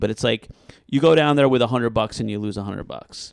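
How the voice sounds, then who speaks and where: A man with a medium pitch speaks with an American accent. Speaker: stand-up comedian. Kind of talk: casual chat. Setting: podcast recording.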